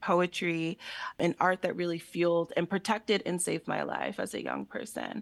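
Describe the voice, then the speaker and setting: With an American accent, a woman speaks fairly slowly at a fairly low pitch, her voice showing vocal fry. Her intonation stays fairly even against a quiet background. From Allentown, Pennsylvania. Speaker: artist and exhibition creator. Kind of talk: radio interview.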